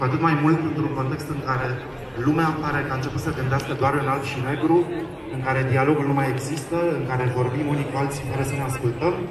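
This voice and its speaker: A man talking at a very fast pace amid noticeable background noise and audible room echo. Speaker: festival host on stage. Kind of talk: opening gala speech. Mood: earnest, rallying. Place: street.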